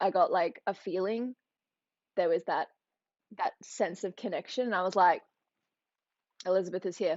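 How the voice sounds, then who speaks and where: A woman in an Australian accent, animated in tone, at a fairly quick pace. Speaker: youtuber. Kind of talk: livestream chat.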